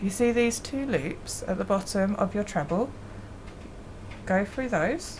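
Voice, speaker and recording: Her intonation lively and her pitch medium, a woman speaks at a fairly slow pace with long, frequent pauses. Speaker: crochet hobby youtuber. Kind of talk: tutorial. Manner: casual.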